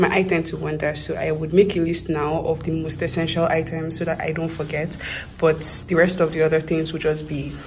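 Light background noise sits behind a woman speaking at a fairly quick pace in a fairly low pitch. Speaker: student vlogger. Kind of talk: casual vlog chat. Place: home room. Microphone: phone near.

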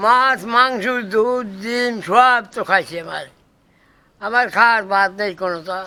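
On a very clean recording with a silent background, a man with a high pitch projects a raised voice, bright and sharp in tone, with big swings in loudness. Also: fairly even intonation. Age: 80s+. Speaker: village folk singer. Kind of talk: interview answer.

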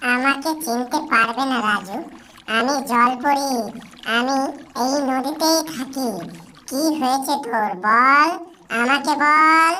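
A cartoonish character voice, female-sounding and high-pitched, at a very slow pace. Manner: warm, motherly.

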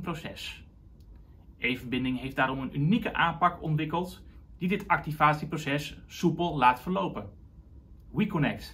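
Here a man speaks at a fairly slow pace. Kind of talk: explainer to camera. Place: office.

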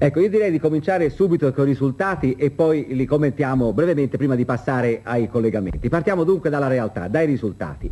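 The speaker races along at a very fast pace with lively intonation. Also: man, hardly any pauses. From Italy. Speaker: studio sports presenter. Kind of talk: 1970s sports newsreel, studio results reading. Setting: TV studio. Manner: brisk, formal, measured. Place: studio.

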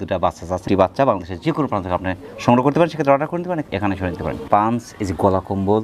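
A man's voice swings very widely in pitch over noticeable background noise. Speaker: farm channel host. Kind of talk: channel intro; interview at goat farm.

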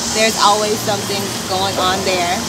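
At a moderate pace, a woman speaks over noticeable background noise. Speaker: pageant winner and student. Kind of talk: casual interview. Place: garden. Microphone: camera far.

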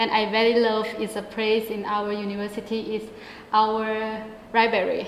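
Fairly high in pitch, a woman speaks in a monotone, flat intonation at a moderate pace, with audible room echo and light background noise. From northern Thailand, Mae Sai; northern Thailand. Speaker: university student; student co-host. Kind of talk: interview. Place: studio. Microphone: lapel.

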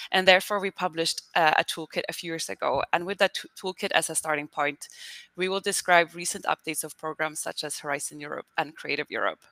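Her pitch is fairly low and her tone bright and sharp. The woman talks at a very fast pace with fairly even intonation. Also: dry, close sound with no echo. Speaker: communications officer, webinar moderator. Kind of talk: webinar introduction and moderation. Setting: online webinar.

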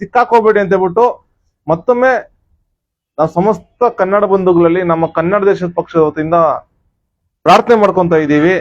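His loudness stays very even as this man speaks with a high pitch and ordinary pitch variation. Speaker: political party activist. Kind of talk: political statement to camera. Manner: repetitive, emphatic.

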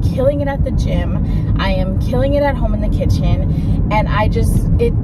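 Loud background noise sits behind a woman speaking at a fairly slow pace, her voice dry with no echo. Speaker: lifestyle vlogger. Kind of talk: casual vlog chat. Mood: candid, reflective, animated. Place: car. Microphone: phone near.

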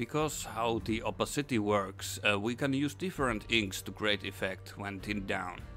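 Over music in the background, a man talks at a moderate pace, his fairly low voice rising and falling in an ordinary way. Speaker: miniature painting tutor. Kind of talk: tutorial narration.

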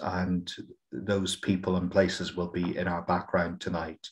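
A man is speaking. The background is quiet. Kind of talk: webinar introduction. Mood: warm, sombre in parts. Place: home room. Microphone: webcam.

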